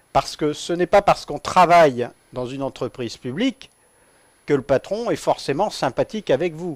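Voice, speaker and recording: An ordinary speaking voice with lively intonation goes at a moderate pace. The sound is dry and close, with no echo. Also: man, fairly high pitch for a man. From central France (Nevers, Massif central). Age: 40s. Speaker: trade unionist, railway worker. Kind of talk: radio interview. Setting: studio.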